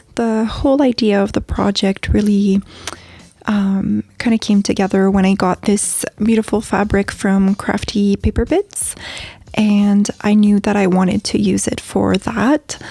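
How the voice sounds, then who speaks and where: A woman speaks at a fairly slow pace with a French accent, her pitch medium and her tone relaxed. Her intonation is fairly even, her loudness very even, and the sound is dry and close with no echo. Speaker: craft video creator. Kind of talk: tutorial. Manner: relaxed with many fillers.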